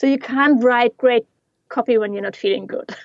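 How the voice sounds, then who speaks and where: Dry and close with no echo, a woman's voice sits at a fairly high pitch. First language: not English. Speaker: yoga teacher and digital marketing coach. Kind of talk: casual interview.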